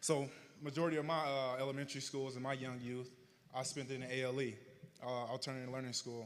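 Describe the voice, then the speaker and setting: In a Southern US accent, a man speaks very fast at a medium pitch. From Arkansas, US South. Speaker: honoree telling his life story. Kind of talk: public speech, personal testimony. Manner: slightly slurred from retainers.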